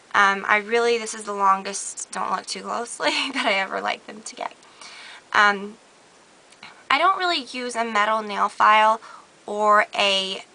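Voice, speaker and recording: Over noticeable background noise, a woman talks at a moderate pace with fairly high pitch, ordinary pitch variation, big swings in loudness and long, frequent pauses. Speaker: beauty vlogger. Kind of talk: casual talk to camera.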